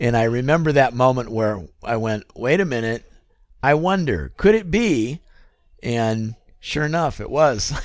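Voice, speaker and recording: A man talks in a normal speaking voice at a medium pitch, with lively intonation and a fairly slow pace. The recording is very clean, with a silent background. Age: 50s. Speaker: non-gamer discussing a video game. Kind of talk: casual chat.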